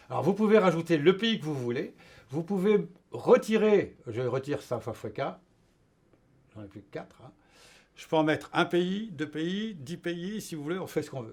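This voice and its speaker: A high-pitched man with very wide pitch swings, big swings in loudness, and long, frequent pauses. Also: moderate pace. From France. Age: 70s. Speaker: retired engineer. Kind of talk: interview. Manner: halting, many hesitations.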